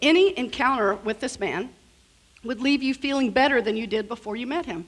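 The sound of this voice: A hoarse, put-on character voice at a fairly quick pace. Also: woman, high pitch for a woman.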